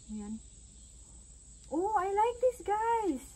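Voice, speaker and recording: Noticeable background noise behind a woman whose pitch swings very widely. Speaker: vlogger. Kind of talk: casual vlog unboxing. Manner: animated. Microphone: weak built-in audio, new mic untested.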